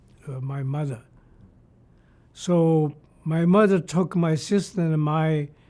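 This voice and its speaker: A man speaks very slowly with a Shanghai accent. His fairly high voice has a dark, mellow tone. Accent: Chinese (Shanghainese) accent in English. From Shanghai, China. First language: Shanghainese Chinese. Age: 80s+. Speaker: retired computer engineer. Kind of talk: oral history interview. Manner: halting, many fillers.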